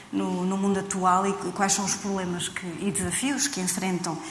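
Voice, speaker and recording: A woman at a medium pitch with fairly even intonation, amid noticeable background noise and audible room echo. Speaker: writer and translator. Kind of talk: panel discussion.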